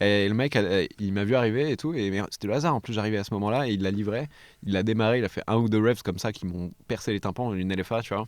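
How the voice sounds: A man talks at a very fast pace in a fairly low pitch. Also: ordinary pitch variation.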